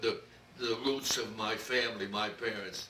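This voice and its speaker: Someone with a New York accent talks amid noticeable background noise and audible room echo. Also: man. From New York City, Brooklyn. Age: 90s. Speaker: interviewee recounting his life. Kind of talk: oral history interview. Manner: halting.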